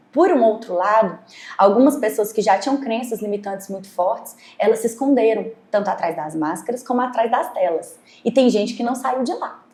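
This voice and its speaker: Lively intonation marks a woman's fairly high voice, heard over noticeable background noise. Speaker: doctor or therapist guest. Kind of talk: podcast interview. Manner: fast.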